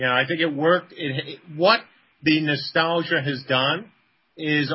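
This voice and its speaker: The voice carries a New York accent and fairly even intonation. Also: man. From the Bronx, New York. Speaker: game company co-founder. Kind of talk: casual interview.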